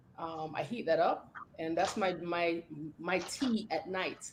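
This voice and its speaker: Noticeable background noise sits behind this recording. The speaker is a woman with a fairly low pitch. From Jamaica. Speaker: fitness trainer. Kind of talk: casual chat.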